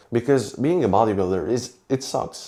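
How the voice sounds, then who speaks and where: A man with a Romanian accent talks fairly quickly in a dark, mellow tone with lively intonation. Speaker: fitness vlogger. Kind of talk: vlog monologue. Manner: halting.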